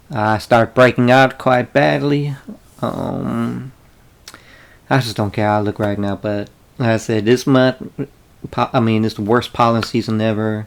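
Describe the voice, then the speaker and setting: Delivery comes at a fairly slow pace, broken by long, frequent pauses. Noticeable background noise runs underneath. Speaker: YouTuber doing unboxing videos. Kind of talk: casual unboxing vlog. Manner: halting, many fillers.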